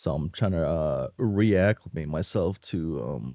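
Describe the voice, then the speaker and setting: Recorded very cleanly against a silent background, with a dry, close sound and no echo, a man with a very deep, low pitch and a dark, mellow tone speaks at a very slow pace, his lively intonation touched with vocal fry. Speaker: streamer reading a webcomic live. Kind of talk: casual live-stream chat. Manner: halting, many fillers.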